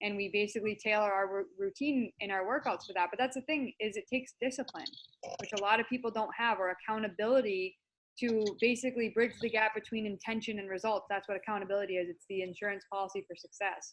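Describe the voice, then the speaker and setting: A woman with an American accent talks at a very fast pace. Her pitch is fairly high and her intonation fairly even. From US Northeast, Massachusetts. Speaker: natural bodybuilder and personal development coach. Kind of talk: interview.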